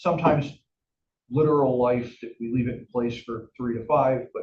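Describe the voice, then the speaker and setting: This somewhat breathy voice moves at a fairly quick pace with fairly even intonation. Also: man. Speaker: finance officer presenting to board. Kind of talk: financial report presentation. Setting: board meeting. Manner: fast.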